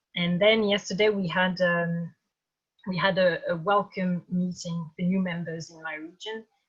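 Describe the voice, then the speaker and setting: A woman's somewhat breathy voice sits at a medium pitch, moving at a moderate pace with fairly even intonation. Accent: French. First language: French. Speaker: campaign organizer, activist. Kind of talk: webinar talk. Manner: halting.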